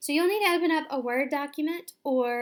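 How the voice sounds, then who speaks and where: The recording is very clean and the background silent. The speaker is a woman with a Southern US accent. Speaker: teacher. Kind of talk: tutorial. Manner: casual, with frequent fillers.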